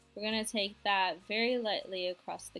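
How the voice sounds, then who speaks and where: Music plays in the background as a woman speaks quietly. Her intonation is fairly even. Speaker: beauty vlogger. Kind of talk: makeup tutorial talk to camera. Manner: quiet, low volume.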